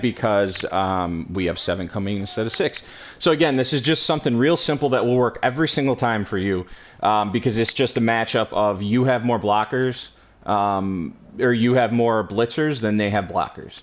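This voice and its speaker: Pitch varies in an ordinary way, with noticeable background noise behind the speech. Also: man. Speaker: video game tutorial creator. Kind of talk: tutorial. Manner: fast; hesitant, many fillers.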